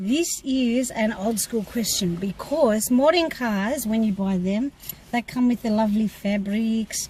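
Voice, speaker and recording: A woman with an Australian accent speaks at a fairly slow pace and a fairly high pitch, with ordinary pitch variation. Noticeable background noise runs under her voice. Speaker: car maintenance teacher and channel co-host. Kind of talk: casual Q&A chat.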